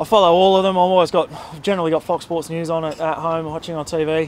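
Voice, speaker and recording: In an Australian accent, a man with a fairly high pitch talks at a very fast pace in a monotone, flat intonation. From Australia, country New South Wales. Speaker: cricketer. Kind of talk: interview. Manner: halting.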